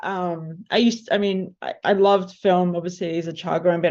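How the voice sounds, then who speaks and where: A woman talks very fast at a fairly low pitch. She has an Australian accent, and the background is quiet. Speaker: film composer. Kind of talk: panel discussion.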